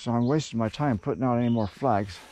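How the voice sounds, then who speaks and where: A man's dark, mellow tone comes through with ordinary pitch variation. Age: 70s. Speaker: landowner learning to run an excavator. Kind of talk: casual narration while working outdoors. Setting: outdoors.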